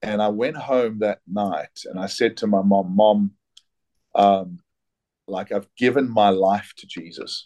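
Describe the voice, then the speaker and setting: A man with a dark, mellow tone and fairly low pitch speaks at a very slow pace with long, frequent pauses, his intonation fairly even but his loudness swinging widely. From South Africa. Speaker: pastor and author. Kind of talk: casual chat.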